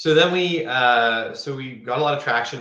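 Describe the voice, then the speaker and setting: A man speaks with a Canadian accent. Noticeable background noise is present. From Canada. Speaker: software company founder. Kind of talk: live Q&A interview. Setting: live video stream. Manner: casual, many filler words.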